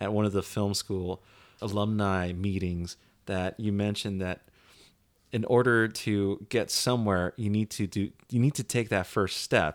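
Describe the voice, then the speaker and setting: On a very clean recording with a silent background, a man speaks at a fairly slow pace and fairly low pitch, his intonation fairly even. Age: 30s. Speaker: podcast host, filmmaker. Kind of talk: casual chat. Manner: low-energy.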